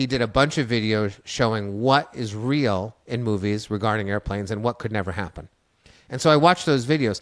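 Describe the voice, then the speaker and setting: A man with a plain, everyday voice speaks at a fairly quick pace and medium pitch, with ordinary pitch variation, on a very clean recording with a silent background. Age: 50s. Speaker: storyteller and author. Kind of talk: interview.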